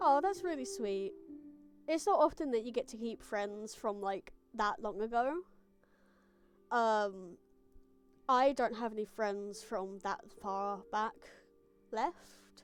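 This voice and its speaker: A woman's fairly high voice at a very slow pace, with very wide pitch swings and long, frequent pauses. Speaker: gaming streamer. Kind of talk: casual live-stream chat. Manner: sometimes muffled.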